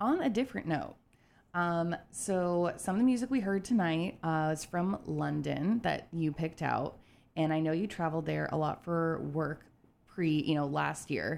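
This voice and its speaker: A woman's unremarkable speaking voice, fairly low in pitch, with lively intonation at a moderate pace on a very clean recording with a silent background. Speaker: radio host. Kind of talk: radio DJ patter. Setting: studio. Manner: upbeat, chatty, friendly.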